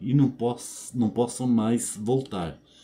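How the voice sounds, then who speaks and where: A man speaks very slowly at a medium pitch. His tone is dark and mellow. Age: 70s. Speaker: video blogger. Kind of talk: casual monologue to camera. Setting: home bedroom. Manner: conversational, frequent fillers.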